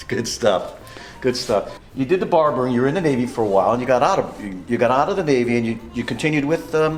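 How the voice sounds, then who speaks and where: Talking at a very fast pace, a man with a medium pitch uses lively intonation over music in the background. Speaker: hair salon owner and stylist. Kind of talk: interview questions.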